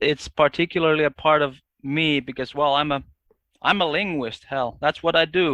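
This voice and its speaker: Speaking with a Finnish accent, a man keeps a moderate pace and fairly even intonation at a fairly high pitch. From Finland. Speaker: linguist. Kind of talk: casual chat. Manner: halting.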